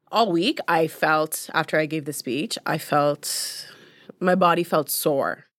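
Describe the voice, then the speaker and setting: Very slow speech from a woman with a Canadian accent, fairly low in pitch, with a dry, close sound and no echo. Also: ordinary pitch variation. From Uganda-born, raised in London, Ontario. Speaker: filmmaker, journalist and TV personality. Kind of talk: casual interview conversation. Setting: studio.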